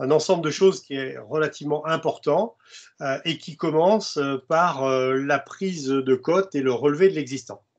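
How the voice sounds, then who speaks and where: At a fairly slow pace, the words come with ordinary pitch variation. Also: man, quiet background. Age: 60s. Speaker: construction industry expert and presenter. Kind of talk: webinar presentation. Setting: video conference. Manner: halting, many hesitations.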